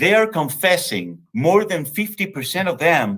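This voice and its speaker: Very slow speech with a bright, sharp tone and very wide pitch swings is captured in a very clean recording with a silent background. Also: man. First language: Spanish. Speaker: think tank executive director. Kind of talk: lecture. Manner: halting.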